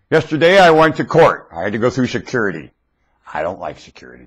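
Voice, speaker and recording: Vocal fry runs through this man's speech. Behind him, the background stays quiet. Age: 60s. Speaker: YouTube commentator. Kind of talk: rant. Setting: webcam recording. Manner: animated.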